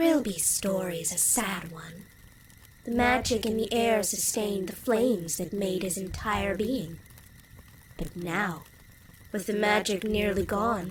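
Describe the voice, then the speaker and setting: A cartoonish character voice moves at a fairly slow pace with long, frequent pauses. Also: female-sounding voice, medium pitch for a woman. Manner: storytelling.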